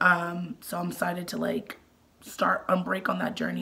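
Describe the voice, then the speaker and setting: A woman speaks over noticeable background noise. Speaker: mommy vlogger. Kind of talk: casual vlog talk. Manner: hesitant, many fillers.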